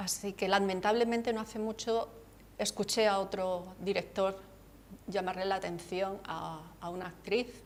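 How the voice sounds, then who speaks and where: A woman speaks at a fairly slow pace in a monotone, flat delivery. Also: medium pitch for a woman. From Andalusia, Cádiz (Campo de Gibraltar). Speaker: author. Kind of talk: TV interview.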